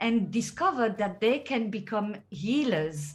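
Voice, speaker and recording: A woman's somewhat breathy, fairly high voice with a French accent, at a fairly slow pace. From France. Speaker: healer and teacher. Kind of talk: interview.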